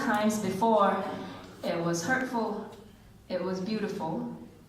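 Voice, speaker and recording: A woman with a medium pitch and ordinary pitch variation talks against noticeable background noise. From Singapore. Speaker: spoken word poet. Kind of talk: poetry reading. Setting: live event.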